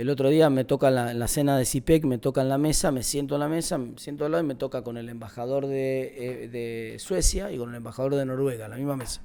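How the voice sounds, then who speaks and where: In an Argentine accent, a man talks at a very fast pace with a medium pitch, a dark, mellow tone and ordinary pitch variation. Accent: Rioplatense Argentine Spanish. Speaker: national congressman. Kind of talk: interview. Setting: student podcast interview. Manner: fast, many repetitions and self-corrections; animated.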